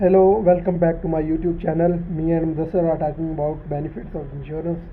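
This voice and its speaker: The speech moves at a very fast pace. Noticeable background noise runs underneath it. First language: not English. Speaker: YouTube channel host. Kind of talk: casual explanatory chat. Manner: halting.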